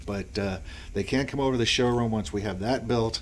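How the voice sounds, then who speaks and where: With an American accent and ordinary pitch variation, a man speaks over noticeable background noise. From Boston area, US. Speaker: small business owner. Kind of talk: podcast interview. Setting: office studio. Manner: hesitant, many fillers.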